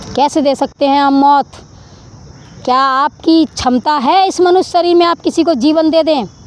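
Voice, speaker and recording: A woman speaks with a high pitch and ordinary pitch variation at a very even loudness, in a dry, close sound with no echo and noticeable background noise. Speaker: spiritual vlogger. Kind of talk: preachy monologue to camera. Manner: animated.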